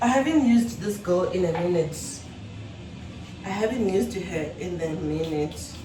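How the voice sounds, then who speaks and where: A woman with a fairly low voice speaks at a moderate pace, her intonation lively, with long, frequent pauses, audible room echo and noticeable background noise. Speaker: vlogger. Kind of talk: casual vlog talk.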